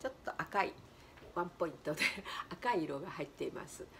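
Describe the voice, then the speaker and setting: The pitch swings very widely over light background noise. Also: woman. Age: 70s. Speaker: color therapist and flower designer. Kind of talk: casual talk to camera. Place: home room. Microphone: phone near.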